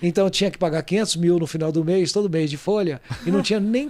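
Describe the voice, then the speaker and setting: A high-pitched man at a fairly quick pace, with ordinary pitch variation and noticeable background noise. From Brazil, Goiás. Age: 60s. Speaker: real estate entrepreneur. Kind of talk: podcast interview.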